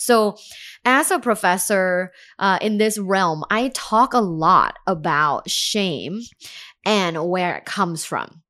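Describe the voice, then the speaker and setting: On a very clean recording with a silent background, a woman with a medium pitch and a bright, sharp tone speaks very slowly, her pitch varying in an ordinary way. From Thailand. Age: 30s. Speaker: sex and relationship professor. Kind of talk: interview.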